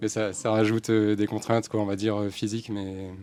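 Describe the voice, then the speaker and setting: A man speaks in a fairly low, dark, mellow voice. His intonation is monotone and flat. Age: 40s. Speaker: gardener working by bike. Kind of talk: round-table interview. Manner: halting, many hesitations.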